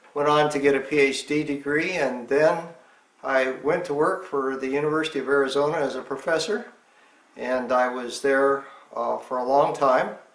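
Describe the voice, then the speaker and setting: There is audible room echo as a man with a fairly high pitch speaks at a moderate pace with fairly even intonation. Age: 70s. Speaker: retired engineering professor and hiker. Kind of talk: interview. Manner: halting with fillers.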